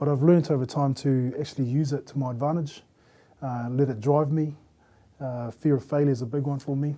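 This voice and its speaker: A man's fairly high voice carries a dark, mellow tone and a monotone, flat intonation. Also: fairly quick pace. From New Zealand, Christchurch. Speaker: panel guest. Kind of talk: casual group discussion. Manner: stutters when nervous.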